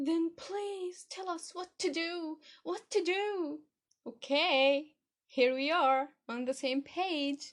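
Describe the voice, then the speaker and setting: A woman's extremely high voice, very slow in pace, with ordinary pitch variation. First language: not English. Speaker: podcast host, English learning. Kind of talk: podcast monologue. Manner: animated.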